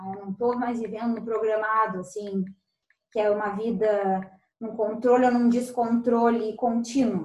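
With big swings in loudness, a woman at a fairly high pitch talks at a moderate pace in a monotone, flat intonation. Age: 30s. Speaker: business owner. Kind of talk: casual chat.

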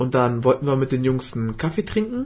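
Talking at a very fast pace, a man with a medium, somewhat breathy voice makes very wide pitch swings. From Germany. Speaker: podcast host. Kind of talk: casual chat. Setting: studio.

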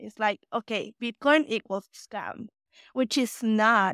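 In an unremarkable speaking voice, a woman with a fairly high pitch speaks at a fairly slow pace, recorded very clean with a silent background and a dry, close sound with no echo. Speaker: crypto partnerships lead. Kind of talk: casual interview chat.

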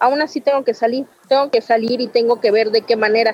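A woman speaks in a high voice at a fairly quick pace. Her pitch varies in an ordinary way. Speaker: manicurist. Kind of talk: interview.

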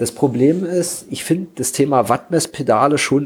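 A somewhat breathy male voice. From eastern Germany, Frankfurt (Oder). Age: 30s. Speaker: bikepacking cyclist. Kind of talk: casual chat.

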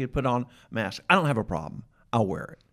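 An American-accented man talks at a very fast pace and medium pitch. The recording is very clean, with a silent background. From Atlanta, US South. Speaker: podcast host. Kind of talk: casual interview chat. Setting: studio.

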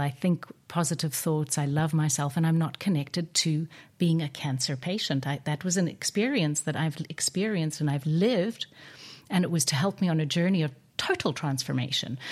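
A woman's very deep, low-pitched voice comes through somewhat breathy in a very clean recording with a silent background. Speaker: podcast host and wellness coach. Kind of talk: interview. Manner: warm, effusive.

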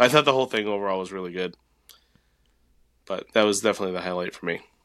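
A man puts on a raspy character voice, fairly low in pitch with ordinary pitch variation. He goes at a very fast pace with big swings in loudness. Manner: subdued, reflective.

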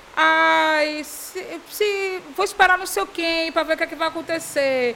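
A woman speaks at a fairly slow pace in a raised, projected voice with an animated tone and an extremely high pitch. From Bahia, Brazil (Salvador area). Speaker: entrepreneur, fashion brand founder. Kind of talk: casual interview chat. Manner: animated, frequent laughter.

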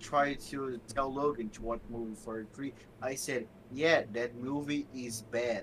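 A man at a medium pitch with a Portuguese accent, a fairly slow pace, and ordinary pitch variation. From Brazil. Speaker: podcast co-host. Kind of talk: casual chat. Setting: video call.

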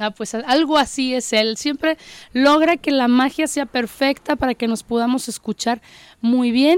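A woman's high voice with ordinary pitch variation, in a dry, close sound with no echo. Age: 40s. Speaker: radio host. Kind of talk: casual chat; reading aloud.

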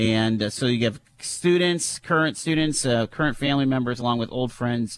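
This man has an ordinary speaking voice. His pitch sits in the middle and varies in an ordinary way. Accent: American. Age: 50s. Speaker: podcast host. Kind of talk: casual interview.

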